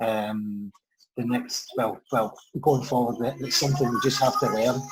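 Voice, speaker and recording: A man with a Scottish accent, medium pitch, ordinary pitch variation and a moderate pace. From Scotland, Ayrshire. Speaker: financial adviser. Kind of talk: interview.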